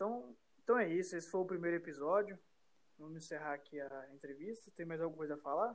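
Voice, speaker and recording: A high-pitched man talks at a very fast pace with ordinary pitch variation. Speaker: podcast host. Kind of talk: casual interview.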